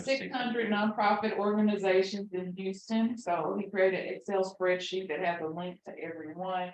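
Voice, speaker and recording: A woman talks in a normal speaking voice at medium pitch. Her pace is moderate and her intonation fairly even. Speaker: nonprofit staff member. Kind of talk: casual talk praising a colleague.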